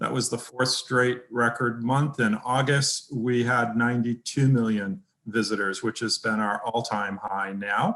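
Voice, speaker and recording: A man with an ordinary speaking voice, medium pitch and a fairly slow pace. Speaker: real estate website executive. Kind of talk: conference presentation.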